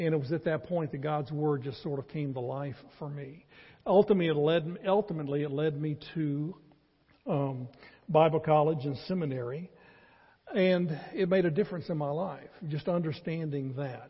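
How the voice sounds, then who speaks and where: A man speaks at a moderate pace in a fairly high pitch with a Southern US accent. His voice is somewhat breathy, with ordinary pitch variation. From North Carolina. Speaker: pastor. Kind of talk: sermon. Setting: church.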